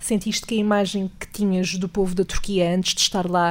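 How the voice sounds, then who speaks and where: The woman's intonation is monotone and flat. She speaks at a medium pitch and a moderate pace. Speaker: podcast host. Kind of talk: interview.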